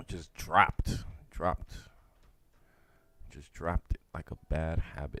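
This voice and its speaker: A man mumbles at a fairly slow pace, with long, frequent pauses and big swings in loudness. The sound is dry and close, with no echo. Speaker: forex trader streamer. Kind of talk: live trading commentary. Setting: livestream. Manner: mumbling; casual.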